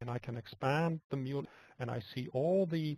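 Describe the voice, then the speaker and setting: Somewhat breathy, a man talks at a moderate pace with ordinary pitch variation, the sound dry and close with no echo. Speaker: software product presenter. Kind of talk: webinar product demo. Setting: web conference screencast. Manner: soft-spoken; halting, repeats words.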